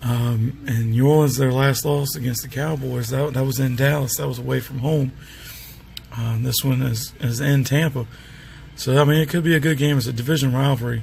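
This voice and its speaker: A man at a moderate pace, medium pitch and fairly even intonation, with noticeable background noise. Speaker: sports picks commentator. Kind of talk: casual talk to camera. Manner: hesitant, filler-heavy.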